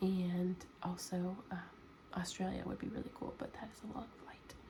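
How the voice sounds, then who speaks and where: A soft-spoken woman with an American accent talks at a fairly slow pace. Noticeable background noise is present. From United States. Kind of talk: ASMR soft-spoken Q&A. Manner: soft-spoken, sleepy.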